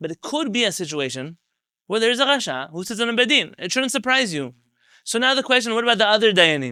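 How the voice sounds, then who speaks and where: A man speaks at a very fast pace in a raised, projected voice, with a high pitch, very wide pitch swings and a bright, sharp tone, on a very clean recording with a silent background. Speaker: rabbi teaching a class. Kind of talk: lecture.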